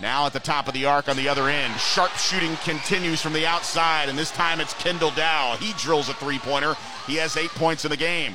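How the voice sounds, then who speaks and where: Over music in the background, a man with a fairly high pitch talks at a fairly quick pace, with fairly even intonation and hardly any pauses. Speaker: radio play-by-play announcer. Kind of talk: live sports commentary. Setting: gymnasium broadcast.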